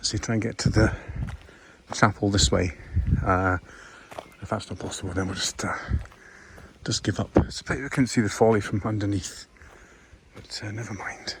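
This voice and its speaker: A whispering man with a Scottish accent, at a moderate pace, with long, frequent pauses and big swings in loudness. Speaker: walking vlogger. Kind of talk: casual vlog narration. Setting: outdoors.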